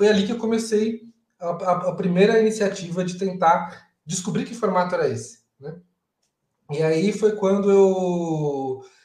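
A man speaks with high pitch at a fairly slow pace. His loudness swings widely, and room echo is audible. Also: ordinary pitch variation. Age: 30s. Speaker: agile coach and event organizer. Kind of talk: casual interview on a live stream. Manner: halting, with repeated words.

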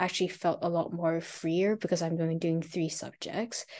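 A woman's fairly low voice in a dark, mellow tone against a quiet background. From Hong Kong. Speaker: university law student. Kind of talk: interview conversation. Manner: hesitant, many fillers.

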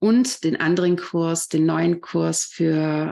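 In a very clean recording with a silent background, a woman talks at a very slow pace with a fairly low pitch. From Austria, Vorarlberg. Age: 30s. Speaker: yoga teacher. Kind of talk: interview.

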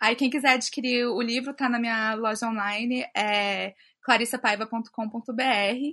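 In a quiet background, a woman with a bright, sharp tone and a fairly high pitch speaks fairly slowly with fairly even intonation. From Brasília, Brazil. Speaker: illustrator and author. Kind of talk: casual chat.

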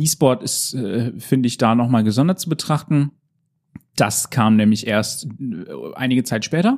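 A man talks at a moderate pace with a medium pitch and ordinary pitch variation. He leaves long, frequent pauses, and the sound is dry and close with no echo. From Emsland, Lower Saxony, northern Germany. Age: 20s. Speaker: esports organizer and art history student. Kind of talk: interview.

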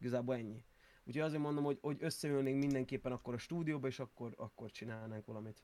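A man's dark, mellow tone, very fast, with fairly even intonation. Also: medium pitch for a man. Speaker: music producer and rapper. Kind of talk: casual interview.

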